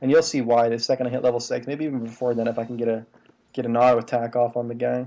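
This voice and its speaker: Quiet and very fast, a man speaks at a medium pitch with a dark, mellow tone and fairly even intonation. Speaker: gaming video creator. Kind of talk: gameplay commentary tutorial. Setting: home recording at night. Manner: quiet, subdued; casual, filler-heavy.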